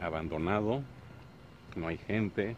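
A man's voice over noticeable background noise, dry with no echo. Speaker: travel vlogger. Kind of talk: casual vlog chat. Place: open country. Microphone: phone near.

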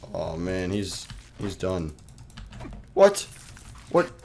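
A man speaks over noticeable background noise. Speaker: gaming YouTuber. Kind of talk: casual gameplay commentary. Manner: casual, chatty, joking.

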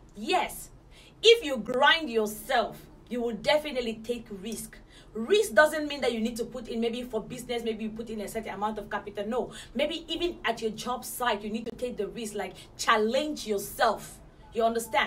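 A woman speaks at a moderate pace with ordinary pitch variation. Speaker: motivational vlogger. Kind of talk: motivational talk to camera. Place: home room.

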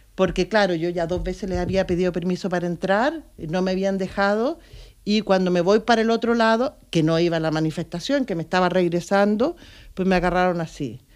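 At a fairly quick pace, a woman talks at a medium pitch with ordinary pitch variation over a quiet background. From Chile. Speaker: local politician. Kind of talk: casual interview. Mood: earnest, reflective. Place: studio. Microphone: studio mic.

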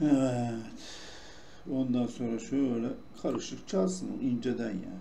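Amid noticeable background noise and audible room echo, a man speaks at a very slow pace with ordinary pitch variation and long, frequent pauses. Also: medium pitch for a man. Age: old. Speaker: gaming youtuber. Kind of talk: gameplay commentary. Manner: relaxed, chatty. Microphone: no proper microphone, may sound poor.

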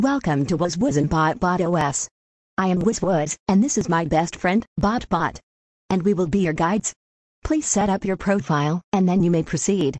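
A cartoonish character voice at a middle pitch and a moderate pace. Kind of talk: announcer-style system greeting. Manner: mocking, bratty, smug.

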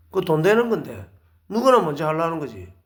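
This man's voice sits at a fairly high pitch and swings very widely. His pace is fairly quick. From South Korea, Busan. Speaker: lecturer, ex-marine volunteer, wedding photographer. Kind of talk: monologue lecture. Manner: hesitant with frequent fillers; emphatic, indignant.

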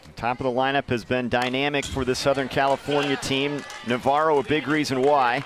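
Fairly high in pitch, a man speaks at a fairly quick pace in a monotone, flat intonation. His loudness stays very even, and background noise is noticeable. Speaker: sports commentator. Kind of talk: live TV sports commentary, play-by-play. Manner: polished, broadcast-style.

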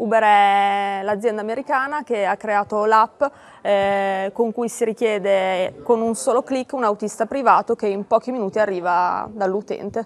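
Speaking fairly slowly, a woman uses an ordinary speaking voice with fairly high pitch and ordinary pitch variation. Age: 20s. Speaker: startup marketing manager. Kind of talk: interview. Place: hall. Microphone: lapel.

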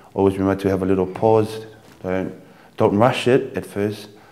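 A man's fairly low, dark and mellow voice, monotone and flat, at a moderate pace. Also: long, frequent pauses. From Tonga. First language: Tongan. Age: 20s. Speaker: dancer and dance teacher. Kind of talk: dance tutorial; interview. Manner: halting.

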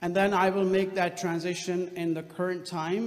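The man's voice sits at a high pitch. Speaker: guest lecturer. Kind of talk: lecture. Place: hall. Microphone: podium.

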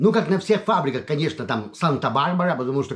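Against a quiet background, a man talks with very wide pitch swings. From Lithuania, Vilnius; Lithuania. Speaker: video blogger. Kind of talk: casual personal monologue. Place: home room. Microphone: webcam.

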